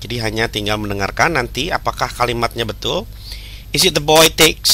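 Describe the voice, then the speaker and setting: With an Indonesian accent, a man talks at a fairly quick pace over noticeable background noise. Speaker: English teacher. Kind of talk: lesson tutorial. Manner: halting.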